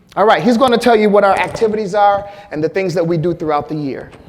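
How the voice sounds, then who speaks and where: A man's high-pitched voice with lively intonation and a fairly quick pace, amid audible room echo and noticeable background noise. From Flint, Michigan, US Midwest. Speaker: health disparities researcher and doctor. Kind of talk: conference presentation.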